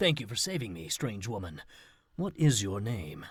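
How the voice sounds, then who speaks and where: A man performs a put-on character voice at a medium pitch. His pitch swings very widely at a moderate pace. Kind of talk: campy B-movie acting. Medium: video game.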